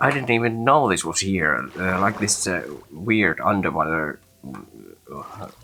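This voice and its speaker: A man with a Finnish accent speaks fairly slowly at a very deep, low pitch, his intonation lively. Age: adult. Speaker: gaming video creator. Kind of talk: gameplay commentary. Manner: halting.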